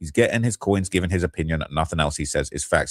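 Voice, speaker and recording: A man speaks with a very deep, low pitch and ordinary pitch variation. The recording is very clean with a silent background and a dry, close sound with no echo. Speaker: streamer discussing celebrity news. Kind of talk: live stream commentary reading comments. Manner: stuttering, jittery.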